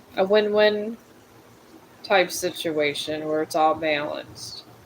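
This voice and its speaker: A woman with ordinary pitch variation amid noticeable background noise. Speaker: tarot reader and livestreamer. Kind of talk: live tarot reading. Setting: livestream. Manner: halting.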